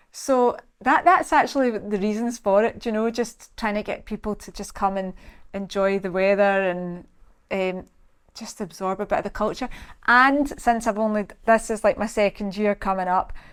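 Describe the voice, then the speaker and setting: A woman speaks in a Scottish accent at a fairly high pitch with ordinary pitch variation. The recording is very clean, with a silent background. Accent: Scottish, slows it down on camera. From Scotland. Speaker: salon owner and personal trainer. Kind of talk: casual interview chat.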